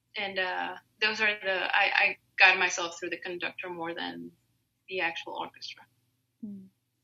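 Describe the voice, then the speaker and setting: A woman with a Spanish accent talks at a moderate pace, leaving long, frequent pauses. Her loudness swings widely. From Mexico. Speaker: opera singer. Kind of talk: interview. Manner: hesitant, many fillers.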